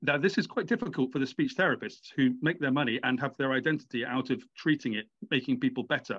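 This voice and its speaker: Against a quiet background, a man with a fairly high pitch talks at a very fast pace with hardly any pauses and ordinary pitch variation. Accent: British. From Britain. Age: 40s. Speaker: author. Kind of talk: interview. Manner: halting.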